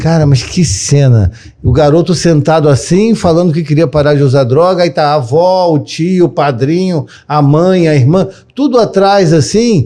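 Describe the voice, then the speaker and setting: A man with a dark, mellow tone and a fairly high pitch talks at a moderate pace. His intonation is lively and his loudness very even. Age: 50s. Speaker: therapist and podcast host. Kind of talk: casual interview chat.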